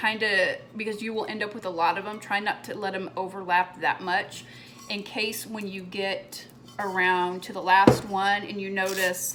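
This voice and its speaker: Music plays in the background as a woman speaks at a fairly slow pace. Her medium pitch carries a monotone, flat intonation. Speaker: crafter making a tumbler cup tutorial. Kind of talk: tutorial. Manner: casual, chatty.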